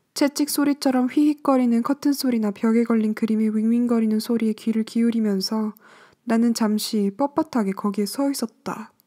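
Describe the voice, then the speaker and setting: A woman's fairly high-pitched voice, dark and mellow in tone and soothing, with fairly even intonation and a dry, close sound with no echo. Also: moderate pace, very clean recording, silent background. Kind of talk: audiobook reading of a novel.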